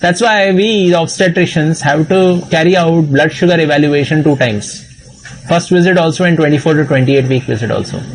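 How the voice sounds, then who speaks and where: With an Indian accent, a man speaks at a fairly quick pace and a fairly high pitch, with ordinary pitch variation, very even loudness, audible room echo, and noticeable background noise. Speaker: obstetrician and medical exam teacher. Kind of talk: lecture.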